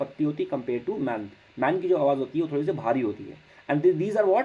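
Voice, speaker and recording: A man with a dark, mellow tone. His pitch swings very widely. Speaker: physics teacher. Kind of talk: lecture.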